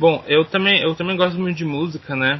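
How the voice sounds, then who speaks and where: A man speaks with fairly even intonation. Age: 20s. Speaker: teacher and podcaster. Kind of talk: interview. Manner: halting.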